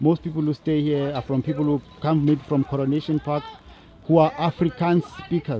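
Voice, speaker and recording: Amid noticeable background noise, a man with a fairly high pitch talks fairly quickly in fairly even intonation. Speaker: interviewer. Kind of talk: interview.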